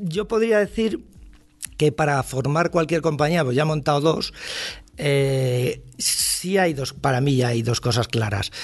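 A man talks in a fairly high voice with music playing behind him. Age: 60s. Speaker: advertising agency founder. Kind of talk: casual chat.

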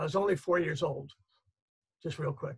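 Against a quiet background, a man speaks with vocal fry at a fairly high pitch and ordinary pitch variation. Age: 70s. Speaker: reader and family caretaker. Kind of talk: panel discussion. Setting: video call. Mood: earnest, personal storytelling. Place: home room. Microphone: video call.

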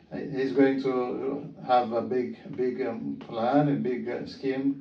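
A man with an Ethiopian accent talks with ordinary pitch variation, audible room echo and light background noise. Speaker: visiting surgeon, observer. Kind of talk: interview testimonial. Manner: hesitant, many fillers. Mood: appreciative, calm. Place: office.

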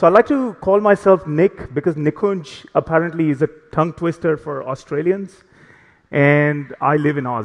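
His pitch sits fairly high for a man. The man's pitch moves in an ordinary way. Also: moderate pace.

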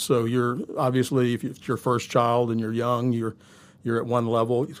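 Speaking with a Southern US accent, a man keeps to a medium pitch. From US South, Shreveport, Louisiana; Louisiana. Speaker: pastor; pastor guest. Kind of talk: casual interview. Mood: calm, measured, earnest. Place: studio. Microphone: studio mic.

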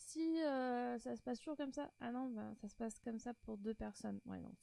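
At a moderate pace, a woman with a fairly high pitch speaks with a dark, mellow tone, fairly even intonation and vocal fry.

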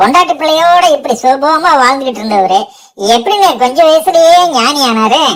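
A put-on character voice held at a very even loudness. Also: woman, high pitch for a woman, moderate pace. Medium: read story. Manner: eager, chatty, deferential.

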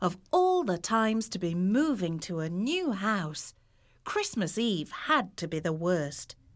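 Here the words are delivered by reading aloud in a natural voice.

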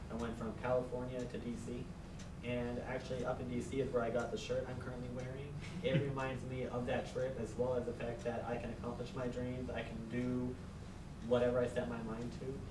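This man talks fairly quickly in an American accent while noticeable background noise runs underneath. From Phoenix, Arizona. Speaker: college student. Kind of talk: class speech. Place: classroom. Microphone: camera far.

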